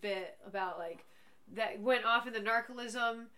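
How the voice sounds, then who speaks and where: Noticeable background noise runs under a woman's fairly high voice. Her intonation stays fairly even. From Portuguese heritage. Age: 30s. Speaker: schoolteacher and podcast co-host. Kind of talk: casual chat.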